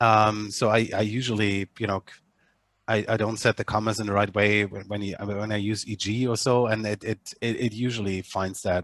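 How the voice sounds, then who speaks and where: A man with a German accent, a fairly low pitch and monotone, flat intonation at a moderate pace, in a dry sound with no echo and a quiet background. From Germany. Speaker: media analytics company head; user demonstrating software. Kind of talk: online panel discussion. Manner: halting, many repetitions and fillers. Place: home room. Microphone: webcam.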